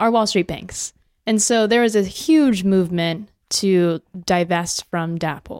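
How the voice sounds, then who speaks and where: The sound is dry and close with no echo, the recording very clean over a silent background, and the pace moderate. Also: woman. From Southern California, Long Beach. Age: 20s. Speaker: political candidate and activist. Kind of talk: interview.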